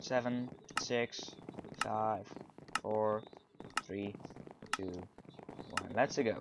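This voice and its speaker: Amid noticeable background noise, a man with a fairly low pitch speaks at a very slow pace, with long, frequent pauses. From Netherlands. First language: Dutch. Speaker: gaming YouTuber. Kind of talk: gameplay commentary. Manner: animated.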